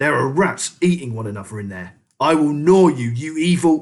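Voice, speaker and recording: A man puts on a character voice at a fairly high pitch. It sounds shrill and hissing. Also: moderate pace. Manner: hissing, threatening, enraged.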